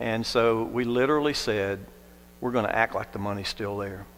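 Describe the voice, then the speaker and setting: This man has a plain, everyday voice, speaking at a fairly quick pace with medium pitch and an American accent. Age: 60s. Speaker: non-profit leader. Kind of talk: testimony.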